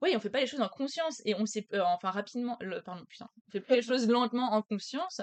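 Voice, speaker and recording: A woman at a very fast pace with fairly high pitch, lively intonation and big swings in loudness, in a dry, close sound with no echo. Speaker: podcast guest, friend of host. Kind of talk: casual chat.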